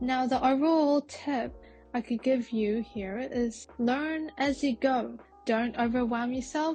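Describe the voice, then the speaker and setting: A woman's high voice at a fairly slow pace, with ordinary pitch variation and music in the background. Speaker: art tutorial youtuber. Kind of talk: tutorial.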